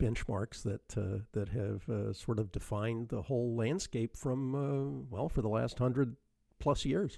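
Relaxed, with a dark, mellow tone, a man speaks at a moderate pace with lively intonation. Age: 60s. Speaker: car podcast host. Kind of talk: casual interview chat. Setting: remote call. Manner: relaxed, hesitant with fillers.

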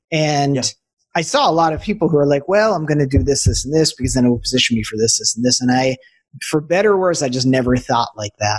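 Someone with an American accent speaks at a very fast pace with lively intonation. The voice is somewhat breathy. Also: man, fairly high pitch for a man. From Boston suburbs, US. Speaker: transformational business coach. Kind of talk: casual interview chat.

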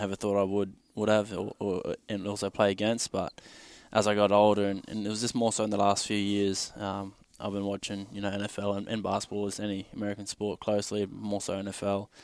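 A man with an Australian accent, fairly low in pitch, monotone and flat, at a fairly quick pace on a very clean recording with a silent background. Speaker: football player. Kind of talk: casual interview.

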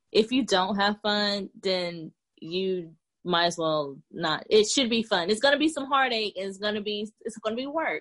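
A woman with an unremarkable speaking voice and medium pitch talks at a moderate pace with lively intonation. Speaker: business owner, soldier. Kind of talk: casual interview.

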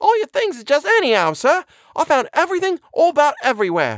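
In a put-on character voice, a man talks fast at an extremely high pitch with a fairly bright tone and very wide pitch swings. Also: dry, close sound with no echo.

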